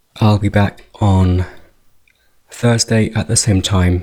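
Speaking at a very slow pace, a man with a fairly low pitch and a dark, mellow tone sounds calm and gentle, somewhat breathy, with fairly even intonation. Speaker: meditation guide. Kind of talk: guided meditation. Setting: video call. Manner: slow, calm, soft-spoken with long pauses; gentle, hypnotic, unhurried.

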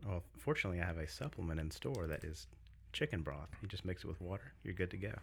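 Soft-spoken and very fast, a man with an American accent talks in a very deep, low pitch with vocal fry on a very clean recording with a silent background. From US South, Greenville South Carolina. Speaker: business owner, gym-food store owner. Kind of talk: casual podcast interview. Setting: studio.

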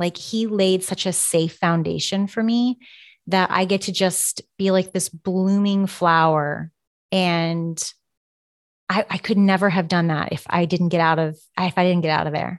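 A woman with a plain, everyday voice speaks at a fairly slow pace with medium pitch and fairly even intonation, in a dry, close sound with no echo on a very clean recording with a silent background. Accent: American. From Kansas. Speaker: immigration lawyer. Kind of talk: interview podcast.

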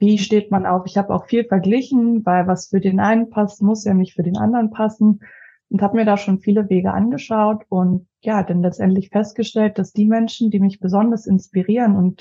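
At a moderate pace, a woman talks in a medium pitch with a dark, mellow, somewhat breathy tone and fairly even intonation. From Leipzig, Saxony, Germany. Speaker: finance advisor and coaching client. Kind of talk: casual interview.

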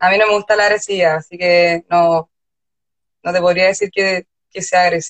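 A woman at medium pitch and moderate pace, with monotone, flat intonation and long, frequent pauses. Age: young. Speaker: illustrator and designer. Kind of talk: casual interview chat. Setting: Instagram live.

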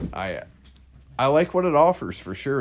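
Pitch varies in an ordinary way as a man speaks at a moderate pace. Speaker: car podcast host. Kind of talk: casual chat.

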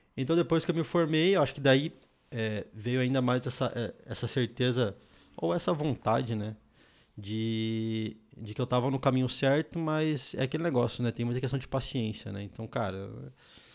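On a very clean recording with a silent background, a man with a plain, everyday voice speaks at medium pitch and a moderate pace with ordinary pitch variation. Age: 20s. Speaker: software developer and startup founder. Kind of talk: casual chat.

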